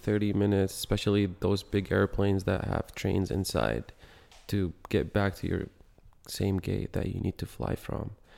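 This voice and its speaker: A man with a dark, mellow tone and fairly low pitch is heard in a very clean recording with a silent background. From Yemen. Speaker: engineering student and intern. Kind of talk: casual interview.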